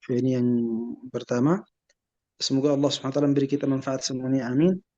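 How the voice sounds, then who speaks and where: Talking at a very fast pace, a man keeps his intonation fairly even. His voice sits at medium pitch with a dark, mellow tone. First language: Arabic (speaking Indonesian). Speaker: Islamic scholar. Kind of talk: lecture. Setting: webinar video call. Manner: halting, many hesitations.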